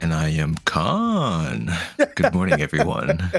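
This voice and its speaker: A put-on character voice from a man, raspy and very deep in pitch, at a fairly slow pace over faint background music. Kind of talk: announcer.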